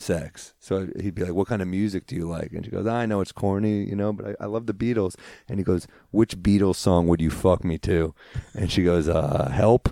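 A very deep, low male voice, dark and mellow, with ordinary pitch variation and a dry, close sound with no echo on a very clean recording with a silent background. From New York City. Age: 30s. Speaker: stand-up comedian. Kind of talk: casual chat.

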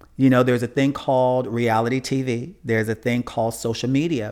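At a fairly quick pace, a man speaks in a normal speaking voice at medium pitch, on a very clean recording with a silent background. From Chicago, US Midwest. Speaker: funeral and cemetery consultant. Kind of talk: interview.

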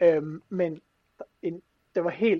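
This man talks with a high pitch. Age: 20s. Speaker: motivational speaker. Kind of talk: casual chat. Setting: video call. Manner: animated.

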